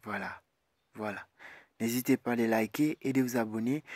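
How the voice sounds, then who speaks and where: A man of medium pitch with fairly even intonation, a dry, close sound with no echo, and a very clean recording with a silent background. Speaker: YouTuber giving study abroad tutorials. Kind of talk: screen-recorded tutorial.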